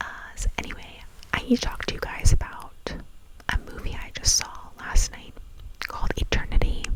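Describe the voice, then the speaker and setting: A woman whispers through noticeable background noise. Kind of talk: ASMR whisper ramble casual talk to camera. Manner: whispered, chatty.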